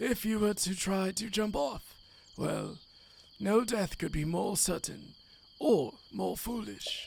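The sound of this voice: What we hear is an unforced reading voice.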